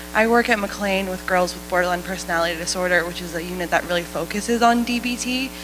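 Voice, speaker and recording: Over music in the background, a woman speaks at a very fast pace with ordinary pitch variation. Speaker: audience member, clinician. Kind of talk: audience question. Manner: halting.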